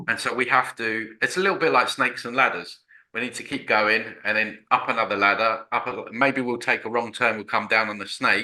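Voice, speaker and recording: Fairly quick and bright, sharp in tone, a man speaks at a medium pitch. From Essex, Southend. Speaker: broadcaster and author. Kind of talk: casual spiritual conversation.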